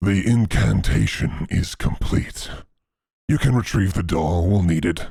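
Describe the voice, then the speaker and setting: A man talks at a fairly slow pace in a put-on character voice. His pitch is very deep and low. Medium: actual play. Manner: blunt, curt.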